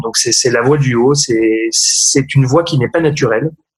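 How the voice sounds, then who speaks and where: Somewhat breathy and at a medium pitch, a man talks at a fairly slow pace with fairly even intonation. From France. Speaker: opera singer. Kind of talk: interview. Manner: hesitant, many fillers and repetitions.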